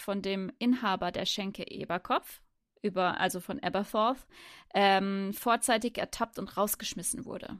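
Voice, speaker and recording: In a very clean recording with a silent background and a dry, close sound with no echo, a woman with a plain, everyday voice speaks at a fairly slow pace, medium pitch and fairly even intonation. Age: 30s. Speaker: podcast co-host. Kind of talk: casual chat.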